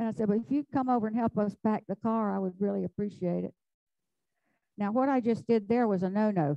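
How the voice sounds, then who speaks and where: A Southern US accent with a dark, mellow tone and a dry, close sound with no echo. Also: woman. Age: 70s. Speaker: flower arranging instructor. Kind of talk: live demonstration. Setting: club hall with live audience and zoom. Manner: chatty, animated.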